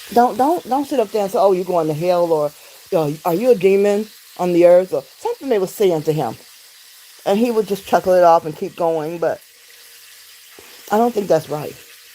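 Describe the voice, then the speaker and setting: A woman with an American accent talks at a fairly quick pace in an animated tone with lively intonation. She takes long, frequent pauses, and background noise is noticeable. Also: medium pitch for a woman. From Detroit, Michigan, US. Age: 60s. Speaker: livestreamer. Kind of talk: casual livestream chat. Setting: home, cooking during livestream.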